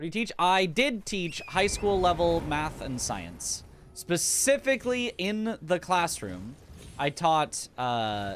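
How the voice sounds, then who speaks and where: Very slowly, a man with an American accent speaks in a high pitch that makes very wide swings. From US Pacific Northwest. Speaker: video game streamer and speedrunner. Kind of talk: live stream chat.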